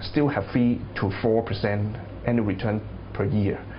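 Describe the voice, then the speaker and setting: With background music playing, the speech moves at a moderate pace. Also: man. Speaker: taxi broker. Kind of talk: interview answer.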